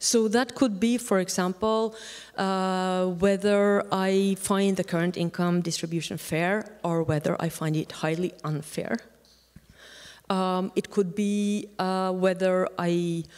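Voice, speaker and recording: A woman at a medium pitch talks at a very slow pace with fairly even intonation on a very clean recording with a silent background. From Norway. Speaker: academic researcher. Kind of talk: conference Q&A. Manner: halting.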